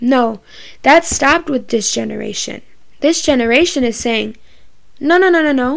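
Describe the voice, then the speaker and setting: Pitched high, a woman speaks with long, frequent pauses. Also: ordinary pitch variation, moderate pace. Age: 20s. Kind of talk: bible study talk. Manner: casual, filler-heavy.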